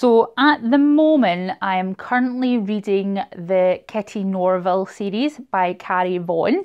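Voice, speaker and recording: The speaker has a Scottish accent and lively intonation. The pace is fairly slow. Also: woman, medium pitch for a woman. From Scotland, Glasgow area. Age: 30s. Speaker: booktuber. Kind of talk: casual vlog monologue.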